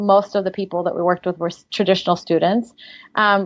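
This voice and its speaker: A woman's medium-pitched voice in a slight Russian accent. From Siberia, Russia, moved to US at twelve. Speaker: life coach. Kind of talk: interview.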